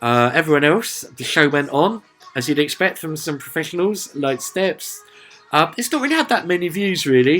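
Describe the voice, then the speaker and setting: With a Sussex accent and ordinary pitch variation, a man talks over music in the background. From southern England, Sussex. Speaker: music reviewer. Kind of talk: casual video review. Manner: chatty, lots of filler uhs.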